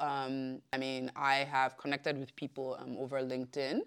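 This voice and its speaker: On a very clean recording with a silent background, a woman speaks at a moderate pace with a very deep, low pitch. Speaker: communications director. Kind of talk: podcast interview. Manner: hesitant, many fillers.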